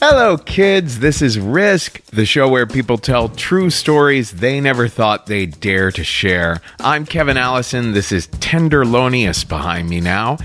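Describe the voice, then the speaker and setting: With music in the background, a man talks at a fairly slow pace and medium pitch. His pitch swings very widely. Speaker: podcast host. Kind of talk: podcast hosting. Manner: loud.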